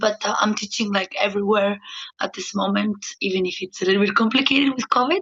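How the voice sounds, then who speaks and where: A woman with a Greek accent speaks at a medium pitch with fairly even intonation. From Greece. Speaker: professional dancer. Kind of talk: podcast interview. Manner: halting, many fillers.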